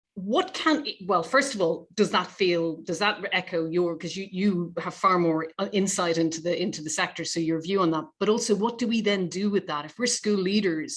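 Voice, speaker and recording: Fairly quick speech with hardly any pauses from a woman with an Irish accent, medium in pitch and ordinary in pitch variation. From Ireland. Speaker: charity representative, interviewer. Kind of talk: webinar discussion.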